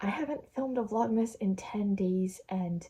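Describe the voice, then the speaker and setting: A woman speaks with a dark, mellow tone at a medium pitch. Her voice is somewhat breathy, with ordinary pitch variation. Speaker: vlogger. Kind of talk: casual vlog, reading short stories aloud. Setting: bedroom.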